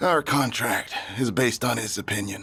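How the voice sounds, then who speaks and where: A man puts on a raspy character voice. His pitch sits in the medium range and his pace is moderate. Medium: fan dub. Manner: anxious, insistent.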